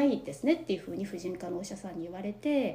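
A woman speaks at a medium pitch. She is soft-spoken. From Japan. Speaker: interview guest. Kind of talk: personal testimony. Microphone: quieter than host.

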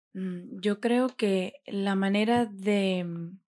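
On a very clean recording with a silent background, a woman with a dark, mellow tone speaks in fairly even intonation. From Venezuela, Mérida. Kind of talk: interview.

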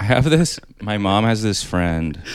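In a Canadian accent, a man with a fairly low pitch speaks in a normal speaking voice. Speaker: stand-up comedian. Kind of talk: casual chat.

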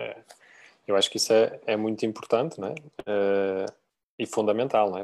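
Moderate in pace, this is a plain, everyday voice. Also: man. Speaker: mortgage credit advisor. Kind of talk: live-streamed casual panel chat.

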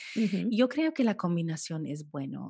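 Against a quiet background, a woman speaks in a calm tone that is dark and mellow, with a fairly low pitch and lively intonation. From United States, Colombian-Caribbean family. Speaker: food photographer. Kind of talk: interview.

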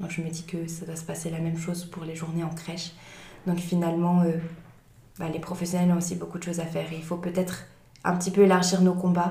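Over noticeable background noise and audible room echo, a woman talks in a fairly low voice with monotone, flat intonation. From Switzerland, Valais. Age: 20s. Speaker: trainee early childhood educator. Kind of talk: interview conversation.

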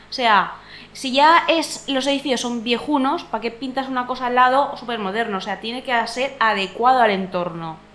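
Over noticeable background noise, a woman with a high pitch speaks at a moderate pace and with ordinary pitch variation. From Valencia. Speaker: podcast panelist. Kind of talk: casual chat.

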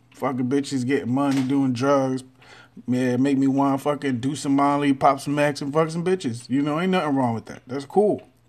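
An ordinary speaking voice with an American accent, fairly even intonation and a fairly quick pace. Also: man, fairly high pitch for a man. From Texas. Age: 30s. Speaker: podcaster. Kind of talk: casual monologue.

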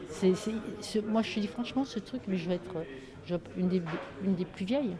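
Lively intonation from a female speaker, noticeable background noise behind her. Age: 60s. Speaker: retired activist taking part in a theatre occupation. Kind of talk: casual chat.

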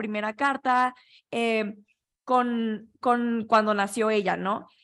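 A woman's high voice at a very slow pace, on a very clean recording with a silent background. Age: 20s. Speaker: podcast host. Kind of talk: casual chat.

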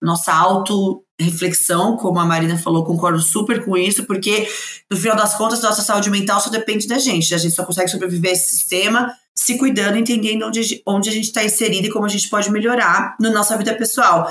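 A woman speaks very fast with fairly even intonation. Her loudness stays very even. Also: medium pitch for a woman. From Brazil, São Paulo. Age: 30s. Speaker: diversity speaker and entrepreneur. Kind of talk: casual chat.

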